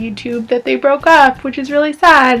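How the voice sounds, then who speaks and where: A woman talks at a moderate pace, her pitch varying in an ordinary way, with noticeable background noise around her. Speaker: YouTuber. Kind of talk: casual vlog tutorial. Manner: animated.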